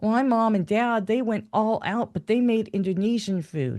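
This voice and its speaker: With an American accent, a woman speaks at a moderate pace in a dark, mellow tone over a quiet background. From USA. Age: 60s. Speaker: video blogger. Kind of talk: personal monologue. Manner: conversational.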